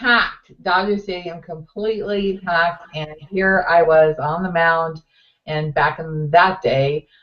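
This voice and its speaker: Here a woman talks at a very slow pace. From US West Coast, Los Angeles area. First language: Finnish. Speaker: talk show co-host. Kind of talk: casual chat. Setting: webcast talk show.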